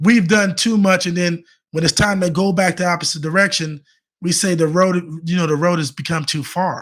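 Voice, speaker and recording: This man has a high pitch. His intonation is fairly even. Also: fairly quick pace. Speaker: faith-based men's coach. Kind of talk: motivational livestream talk. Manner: fast; repetitive, halting restarts.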